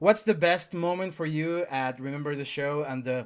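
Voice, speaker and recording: Speaking with a Spanish accent at a fairly high pitch, a man keeps a moderate pace and ordinary pitch variation, with big swings in loudness, in a very clean recording over a silent background. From Chile. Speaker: MMA interviewer. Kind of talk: interview.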